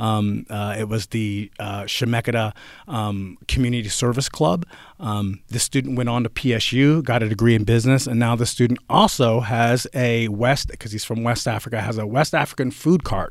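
An unremarkable speaking voice with an American accent, ordinary pitch variation and a moderate pace, on a very clean recording with a silent background. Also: man, medium pitch for a man. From central New Jersey. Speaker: college history instructor. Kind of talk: casual interview. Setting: studio.

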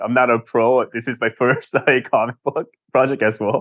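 A man speaks at a medium pitch. His tone is fairly bright.

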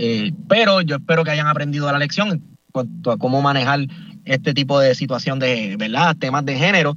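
A man of fairly high pitch speaks at a moderate pace with ordinary pitch variation and an unremarkable speaking voice. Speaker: podcaster, political commentator. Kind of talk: radio panel discussion. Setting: in a car.

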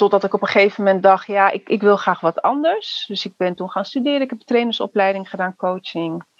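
A woman talks in a plain, everyday voice, medium in pitch, with ordinary pitch variation at a moderate pace. The sound is dry and close, with no echo. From Netherlands, Surinamese family. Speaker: youth care worker and trainer. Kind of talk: casual interview conversation.

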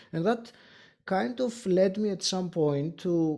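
On a very clean recording with a silent background, a man with a Greek accent speaks at a high pitch with a dark, mellow tone and lively intonation. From Greece. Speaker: podcaster and podcast coach. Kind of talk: interview. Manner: hesitant, frequent filler words; laughs often.

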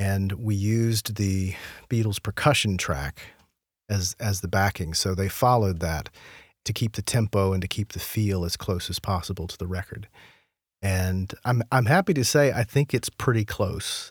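At a moderate pace, a man speaks with a fairly low pitch and a somewhat breathy voice, the sound dry and close with no echo. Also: ordinary pitch variation, very clean recording, silent background. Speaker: podcast host and music researcher. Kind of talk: casual interview.

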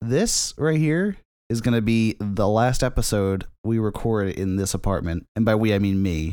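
A man talks at a moderate pace and fairly low pitch, with ordinary pitch variation and very even loudness. It is a plain, everyday voice on a very clean recording with a silent background. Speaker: podcast co-host. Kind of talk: casual comedic banter. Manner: rambling, stumbling, interrupted often.

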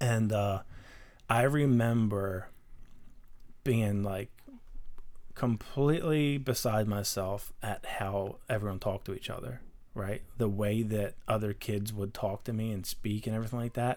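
A man with an American accent speaks slowly at a fairly low pitch, with fairly even intonation and long, frequent pauses. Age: 30s. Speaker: car builder and small business owner. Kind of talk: casual chat. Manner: reserved, methodical.

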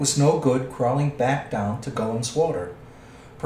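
Ordinary pitch variation shapes a natural voice reading aloud.

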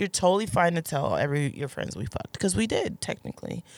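A woman with a fairly low pitch and vocal fry talks very fast with lively intonation in a dry, close sound with no echo. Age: 30s. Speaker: adult film actress. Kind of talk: casual chat. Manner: animated.

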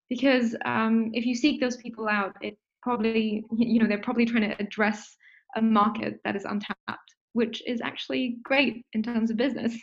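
A somewhat breathy voice at a moderate pace with fairly even intonation. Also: woman, fairly high pitch for a woman. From Singapore, Indian heritage. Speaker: startup founder. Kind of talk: interview.

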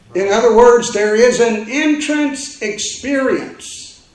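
An extremely high-pitched man's voice with ordinary pitch variation comes through audible room echo and noticeable background noise. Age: 60s. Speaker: pastor. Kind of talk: sermon. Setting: church.

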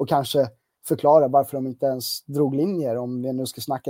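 A man with a dark, mellow tone speaks fairly quickly and with fairly even intonation, the sound dry and close with no echo. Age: 20s. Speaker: football fan site editor. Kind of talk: casual chat.

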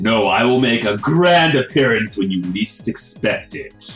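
With faint music in the background, a man uses a put-on character voice at a medium pitch and a moderate pace. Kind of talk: comic overacting. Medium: actual play. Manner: grandiose, theatrical, proclaiming.

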